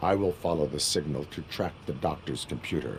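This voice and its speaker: Over clear background noise, a man uses a put-on character voice with a very deep, low pitch. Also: fairly quick pace. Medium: video game. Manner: flat, formal, clipped.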